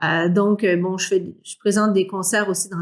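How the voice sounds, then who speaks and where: This is a woman's voice. She speaks with a Quebec accent. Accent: Québécois French. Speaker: singer. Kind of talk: interview. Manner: halting, many fillers.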